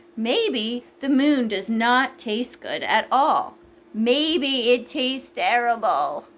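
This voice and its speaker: Using a put-on character voice, a woman speaks very slowly in a high pitch with lively intonation. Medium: read story. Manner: chirpy.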